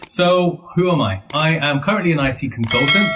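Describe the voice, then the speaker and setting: Over noticeable background noise, a man speaks with a Birmingham accent. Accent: Birmingham English, shaped by school. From Birmingham, England (Handsworth). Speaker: IT consultant. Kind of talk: casual chat. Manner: playful.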